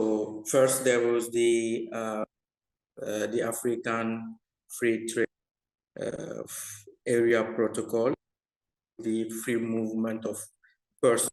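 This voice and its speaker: Very slowly and with long, frequent pauses, a man speaks at a medium pitch in a flat monotone. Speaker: researcher. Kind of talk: webinar panel discussion. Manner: halting.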